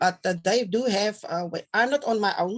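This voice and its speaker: At a middling tempo, a woman speaks with a voice that sits fairly high. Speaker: children's home caregiver. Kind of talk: interview. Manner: halting, hesitant.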